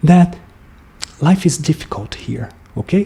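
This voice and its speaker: With a Brazilian accent, a man is talking. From Brazil, Brasília. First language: Portuguese. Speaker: musician and vlogger. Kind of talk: casual monologue. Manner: halting, with frequent fillers.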